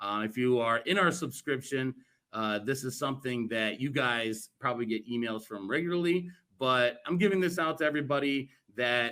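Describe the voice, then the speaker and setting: Loud and bright with a sharp tone, a man speaks at a medium pitch and moderate pace with ordinary pitch variation. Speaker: cannabis networking group co-founder. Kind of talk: virtual event presentation. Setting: virtual event talk. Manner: boisterous.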